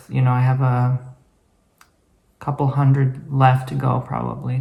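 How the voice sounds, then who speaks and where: Here is a man with a medium pitch. His voice is somewhat breathy. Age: 20s. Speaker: vlogger and ASMR creator. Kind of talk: casual vlog talk to camera.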